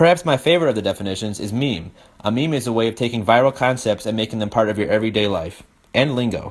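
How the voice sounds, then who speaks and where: His pitch is medium and varies in an ordinary way. This man gets his words out at a very fast pace. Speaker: student presenter. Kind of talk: class presentation. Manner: halting.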